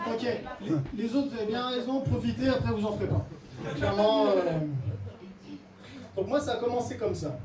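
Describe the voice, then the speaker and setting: A man talks at a moderate speed, pausing often and at length, while noticeable noise sounds in the background. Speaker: actor and stand-up comedian. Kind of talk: stand-up comedy set. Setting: comedy club with live audience.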